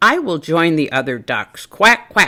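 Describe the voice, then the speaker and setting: A woman uses a put-on character voice with a fairly low pitch and very wide pitch swings. Her pace is fairly slow. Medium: read story.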